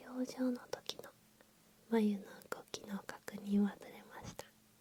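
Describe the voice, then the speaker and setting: A woman whispers in a soft-spoken way. Her pace is fairly slow. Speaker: ASMR creator playing an eyebrow salon staff member. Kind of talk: ASMR roleplay for sleep, polite salon service talk. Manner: whispered, soft-spoken, slow.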